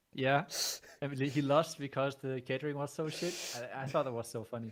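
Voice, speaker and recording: Speaking at a fairly quick pace, a man uses a fairly high pitch and fairly even intonation. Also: very clean recording, silent background. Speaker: esports player. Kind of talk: casual chat. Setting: live stream. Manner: quiet.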